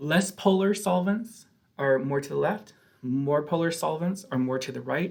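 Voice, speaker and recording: A man with a plain, everyday voice talks at a moderate pace, his pitch fairly high with ordinary variation and big swings in loudness. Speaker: chemistry professor. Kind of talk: lecture.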